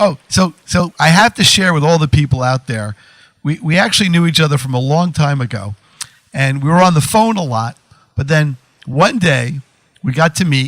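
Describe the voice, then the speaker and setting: A man with a plain, everyday voice talks at a moderate pace with lively intonation and a fairly high pitch, the sound dry and close with no echo. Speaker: radio talk show host. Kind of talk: radio show host talk.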